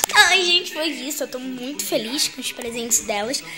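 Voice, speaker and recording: Over clear background music, a woman speaks in a raised, projected voice. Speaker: doll collector vlogger. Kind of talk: casual vlog chat. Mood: happy, affectionate. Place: home room. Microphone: phone near.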